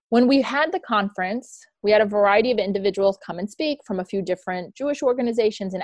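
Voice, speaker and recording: In an ordinary speaking voice, a woman talks at a fairly quick pace, her medium pitch moving with ordinary variation. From Tennessee, US South. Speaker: executive director of an advocacy foundation. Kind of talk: interview testimony.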